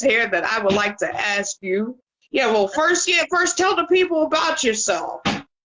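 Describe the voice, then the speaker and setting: A high-pitched woman with an American accent, very wide pitch swings, very even loudness and a moderate pace. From Pittsburgh, US. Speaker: talk show host. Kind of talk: casual interview chat.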